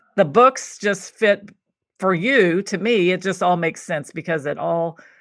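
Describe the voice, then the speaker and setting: In a quiet background, a woman speaks in a normal speaking voice with an American accent, medium pitch, ordinary pitch variation and a fairly slow pace. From Kentucky, US South. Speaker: podcast host, cookbook writing coach. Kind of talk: interview conversation. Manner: casual, frequent fillers.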